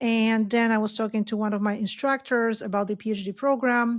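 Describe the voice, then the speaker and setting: A woman with a Polish accent, fairly high in pitch, at a moderate pace. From Poland. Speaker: professor. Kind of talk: podcast interview.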